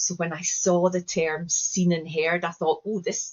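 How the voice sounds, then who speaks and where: A woman with a Scottish accent speaks fairly slowly in a fairly low, somewhat breathy voice. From Scotland, Glasgow. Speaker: educator and trainer. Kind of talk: interview conversation.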